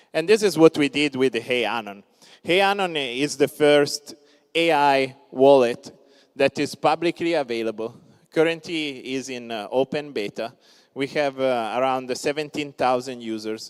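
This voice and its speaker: Speaking in an Italian accent, a man with a fairly high pitch and ordinary pitch variation keeps a moderate pace, his voice sounding dry and close with no echo. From Italy. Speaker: crypto startup founder. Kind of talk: conference talk. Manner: many filler words (uh).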